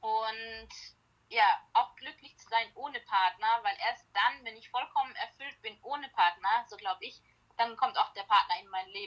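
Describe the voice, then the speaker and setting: A woman with a plain, everyday voice talks at a moderate pace, her pitch fairly high with ordinary pitch variation. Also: big swings in loudness. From Germany, Heilbronn-Heidelberg area. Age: 30s. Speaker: life coach and founder of a self-help product. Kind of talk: casual interview.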